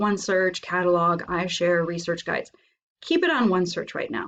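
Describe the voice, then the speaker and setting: A woman's medium-pitched voice with fairly even intonation over a quiet background. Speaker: librarian. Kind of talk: tutorial. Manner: fast.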